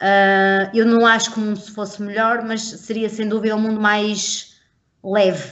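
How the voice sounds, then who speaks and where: A woman's fairly high, monotone, flat voice at a moderate pace, with audible room echo. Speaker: podcast co-host. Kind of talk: casual chat.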